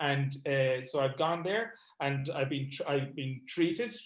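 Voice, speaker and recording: This speaker has an Irish accent and a fairly slow pace. The pitch varies in an ordinary way. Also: man. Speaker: comedy event promoter and MS patient. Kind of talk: online panel talk.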